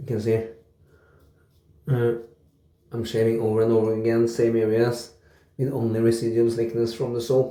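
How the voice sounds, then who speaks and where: Quietly and in a relaxed tone, a man speaks at a moderate pace with a medium pitch, a dark, mellow tone, flat monotone intonation and long, frequent pauses, with audible room echo. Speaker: wet shaving YouTuber. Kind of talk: casual product review vlog. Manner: quiet, relaxed.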